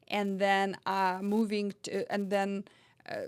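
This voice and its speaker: In a very clean recording over a silent background, a woman with a medium-pitched voice talks at a fairly slow pace in a monotone, flat intonation. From former Soviet Union. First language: not English (third language). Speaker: author. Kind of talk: personal storytelling monologue. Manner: halting, with fillers.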